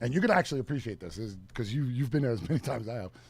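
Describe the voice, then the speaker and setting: A man with a New York accent speaks in a somewhat breathy voice. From New York City, Queens (Flushing). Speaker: radio show co-host. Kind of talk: casual chat. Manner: animated.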